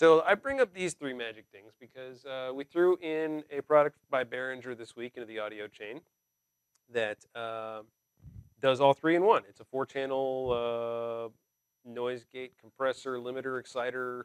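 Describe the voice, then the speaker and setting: Heard in a dry, close sound with no echo, a man talks at a fairly slow pace with ordinary pitch variation and big swings in loudness. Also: medium pitch for a man. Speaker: show host, production tech. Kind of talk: casual tech chat.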